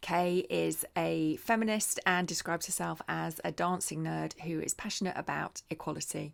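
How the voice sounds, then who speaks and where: A woman talks at moderate speed on a very clean recording with a completely silent background. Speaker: interview host. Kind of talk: podcast interview host.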